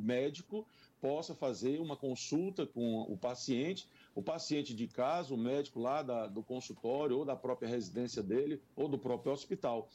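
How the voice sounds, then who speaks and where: This man's tone is dark and mellow. His intonation is lively. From Brazil, Piauí (Parnaíba). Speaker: mayoral candidate, politician. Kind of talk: radio interview. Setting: radio studio.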